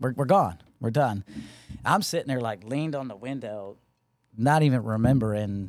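In a very clean recording with a silent background, a man with an American accent uses a plain, everyday voice at medium pitch, moderate pace and ordinary pitch variation. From Connecticut. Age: 40s. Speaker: Marine officer and veteran. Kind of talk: casual chat.

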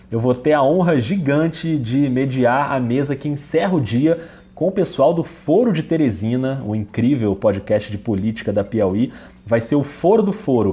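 The voice is somewhat breathy, with a dark, mellow tone. Its pace is moderate and its intonation lively. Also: man, medium pitch for a man. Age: 40s. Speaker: podcast host. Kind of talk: podcast intro and announcements. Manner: animated.

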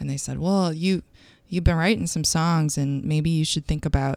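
A woman with a US Midwestern accent and ordinary pitch variation, in a very clean recording with a silent background and a dry, close sound with no echo. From Michigan, US Midwest. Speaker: singer-songwriter. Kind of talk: casual interview chat.

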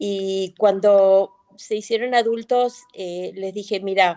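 A woman speaks at a medium pitch with ordinary pitch variation and a dark, mellow tone. The sound is dry and close, with no echo. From Argentina, Concordia, Entre Ríos. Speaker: businesswoman and author. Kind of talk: interview. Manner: halting.

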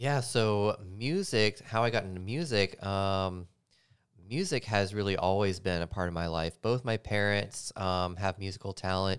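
A man with an American accent has a normal speaking voice, fairly low in pitch with ordinary pitch variation, on a very clean recording with a silent background. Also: moderate pace. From US South, Nashville, Tennessee. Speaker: DJ. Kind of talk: casual interview chat.

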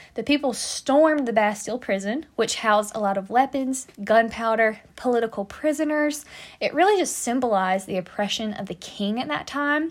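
Speaking at a moderate pace, a woman uses a fairly high pitch, lively intonation and an animated tone. The recording is very clean, with a silent background. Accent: American. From United States. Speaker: podcast host, history storyteller. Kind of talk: casual scripted-style history podcast monologue. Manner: animated, humorous, chatty.

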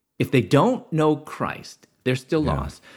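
This very clean recording with a silent background carries a voice with an American accent. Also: man. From US Midwest, Chicago area. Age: 50s. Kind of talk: testimony.

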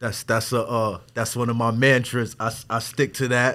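The recording is very clean, with a silent background. A man speaks at medium pitch and a fairly slow pace. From Wyandanch, Long Island, New York. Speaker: visual artist. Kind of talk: casual interview. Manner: halting, many fillers.

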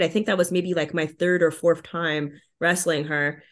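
In a Montreal accent, a woman speaks at a fairly quick pace with fairly low pitch. Her intonation is fairly even, and the background is quiet. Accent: Montreal anglophone Canadian English. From Montreal, Quebec (anglophone). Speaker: professional wrestler. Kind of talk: interview.

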